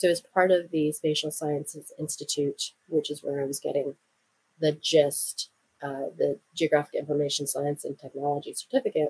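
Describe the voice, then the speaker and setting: Somewhat breathy and very deep, a woman's voice sits very low in pitch. She speaks at a moderate pace with fairly even intonation. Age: 40s. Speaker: podcast host and graduate student. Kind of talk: solo podcast monologue.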